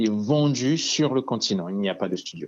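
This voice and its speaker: At a fairly slow pace, a man talks in an unremarkable speaking voice with ordinary pitch variation. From Central African Republic, Bangui. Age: 20s. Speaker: video game studio founder. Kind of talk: phone interview. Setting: phone call.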